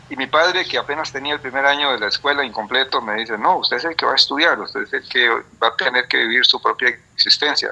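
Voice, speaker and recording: A man with a Costa Rican accent at a fairly quick pace. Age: 60s. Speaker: biologist and retired professor. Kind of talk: interview. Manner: halting, many fillers and repetitions.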